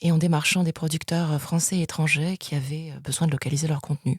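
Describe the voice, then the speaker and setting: Speaking at a fairly quick pace, a woman with a very deep, low pitch sounds somewhat breathy and keeps a monotone, flat intonation. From France, of Spanish descent. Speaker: international TV sales executive. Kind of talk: interview. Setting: podcast interview. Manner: hesitant, many fillers.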